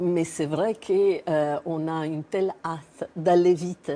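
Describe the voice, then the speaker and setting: At a fairly slow pace, a woman speaks with a slight Italian accent and a fairly low pitch. Her intonation is fairly even, and background noise is noticeable. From Italy. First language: Italian (speaking French). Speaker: cancer researcher. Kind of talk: TV interview.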